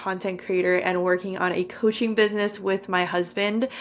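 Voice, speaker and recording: A woman speaks at a medium pitch with a Californian accent, her intonation fairly even. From California, San Francisco Bay Area. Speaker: podcaster and content creator. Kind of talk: podcast interview.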